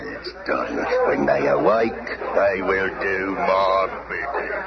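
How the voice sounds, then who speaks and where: Using a put-on character voice, a man talks at a fairly slow pace. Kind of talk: pirate dialect. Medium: old radio play. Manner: rough, domineering.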